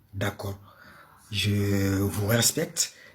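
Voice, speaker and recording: Somewhat breathy, the voice speaks very slowly in a Malian accent. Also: man. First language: Bambara (speaking French). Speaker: live-stream panel host. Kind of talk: live-stream talk. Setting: live stream with audience. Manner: hesitant, many fillers.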